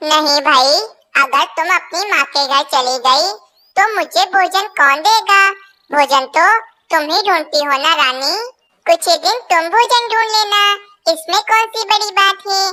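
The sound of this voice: This is a squeaky, cartoonish character voice at an extremely high pitch. It moves at a moderate pace.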